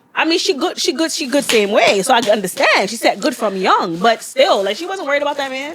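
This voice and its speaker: A woman speaks loudly and animatedly at a very fast pace, barely pausing. Her high voice swings very widely in pitch, with noticeable background noise behind her. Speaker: podcast host. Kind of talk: casual chat.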